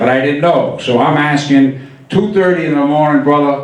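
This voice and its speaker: At a moderate pace and fairly high pitch, a man speaks with ordinary pitch variation amid noticeable background noise and audible room echo. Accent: American. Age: 60s. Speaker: stand-up comedian. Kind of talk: stand-up. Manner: animated.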